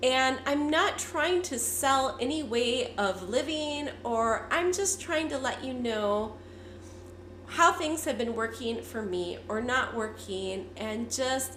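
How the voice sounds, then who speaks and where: A woman speaks very slowly in a high voice with lively intonation. Audible room echo surrounds her. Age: 50s. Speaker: lifestyle vlogger. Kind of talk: casual vlog update.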